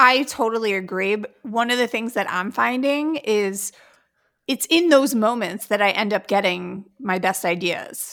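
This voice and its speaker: In a very clean recording with a silent background, a woman speaks in a normal speaking voice, fairly high in pitch with ordinary pitch variation. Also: fairly slow pace. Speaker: podcast co-host. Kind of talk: casual podcast interview.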